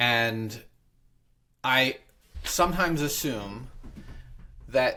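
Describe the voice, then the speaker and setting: Animated and bright with a sharp tone, a man speaks at medium pitch with ordinary pitch variation on a very clean recording with a silent background. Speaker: real estate broker and podcast host. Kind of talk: podcast conversation. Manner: fast.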